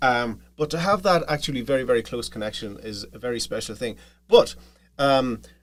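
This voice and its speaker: A man with an Irish accent, medium pitch and lively intonation. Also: big swings in loudness. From Ireland, County Monaghan. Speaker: podcaster, family history storyteller. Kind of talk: interview. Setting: studio.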